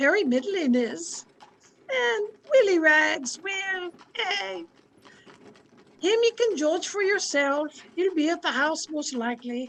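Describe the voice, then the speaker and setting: A squeaky, put-on character voice with very wide pitch swings, at a fairly slow pace with long, frequent pauses. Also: woman, extremely high pitch for a woman. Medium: audio drama. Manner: warm, homely.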